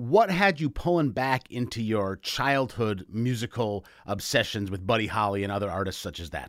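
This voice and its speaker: A man talks in an ordinary speaking voice at a medium pitch and moderate pace. His intonation is lively, and he leaves hardly any pauses. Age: 40s. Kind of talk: radio interview. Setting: video call.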